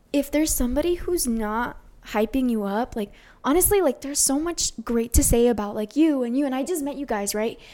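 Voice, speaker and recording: In an American accent, a woman speaks at a fairly quick pace with a high, dark, mellow voice and lively intonation. The recording is very clean, with a silent background. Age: 20s. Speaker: content creator. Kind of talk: casual chat.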